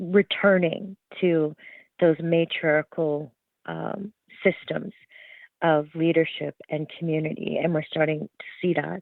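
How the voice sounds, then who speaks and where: A woman speaks very slowly, with long, frequent pauses. Her intonation stays fairly even. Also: fairly low pitch for a woman. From Alberta, Canada. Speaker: journalist. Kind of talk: interview. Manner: halting.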